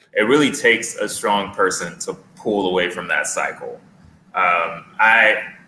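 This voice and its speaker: Noticeable background noise runs under a male voice at a fairly slow pace. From US West Coast, East Oakland, California. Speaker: author, panel guest. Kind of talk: casual discussion.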